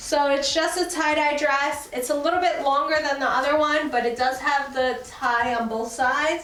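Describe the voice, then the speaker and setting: A high-pitched woman at a moderate pace, with audible room echo and noticeable background noise. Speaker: fashion YouTuber. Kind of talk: try-on haul vlog. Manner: animated.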